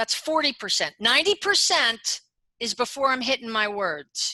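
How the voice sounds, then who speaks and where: Her voice raised and projected, a woman speaks at a high pitch in a bright, sharp tone with very wide pitch swings, in a dry, close sound with no echo. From New York State, lower Hudson Valley. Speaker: business consultant. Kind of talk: interview conversation.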